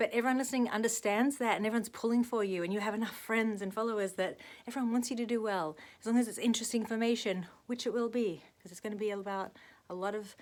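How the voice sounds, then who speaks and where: Speaking with an Australian accent, a woman goes at a very fast pace in a fairly high voice with fairly even intonation. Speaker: actress and vlogger. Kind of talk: casual vlog monologue.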